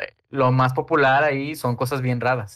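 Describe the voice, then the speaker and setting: A man speaks at a medium pitch. The recording is very clean, with a silent background. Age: 20s. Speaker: illustrator. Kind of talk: casual chat. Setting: recorded at night. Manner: halting, many fillers.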